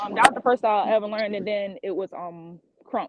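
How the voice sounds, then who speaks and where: A woman talks at a fairly quick pace in a plain, everyday voice with a medium pitch. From Florida, Fort Lauderdale. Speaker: dancer. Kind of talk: casual interview.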